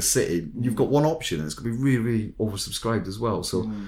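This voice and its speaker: A medium-pitched man's voice with a Scottish accent. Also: very clean recording, silent background. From Scotland. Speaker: recruitment consultant podcast host. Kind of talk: casual chat.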